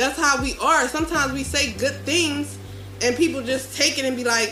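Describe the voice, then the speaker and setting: Noticeable noise fills the background. The delivery keeps a moderate pace. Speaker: podcast panelist. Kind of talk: casual chat. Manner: loud.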